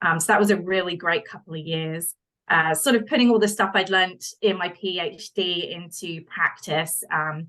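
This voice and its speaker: In a British accent, a bright, sharp tone moves at a moderate pace. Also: woman. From United Kingdom. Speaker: wildlife researcher. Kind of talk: interview.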